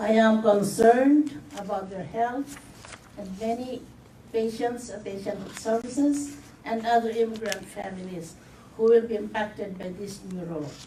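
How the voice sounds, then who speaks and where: Over noticeable background noise and audible room echo, a woman with a fairly high pitch speaks at a moderate pace with ordinary pitch variation. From Philippines. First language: not English. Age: 70s. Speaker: community health patient. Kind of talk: testimony. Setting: news conference.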